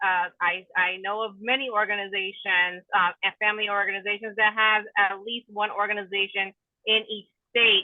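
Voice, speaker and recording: At a moderate pace, a woman speaks in a flat, monotone voice. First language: Spanish. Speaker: certified teacher and family advocate. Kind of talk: online meeting discussion. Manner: halting with repetitions.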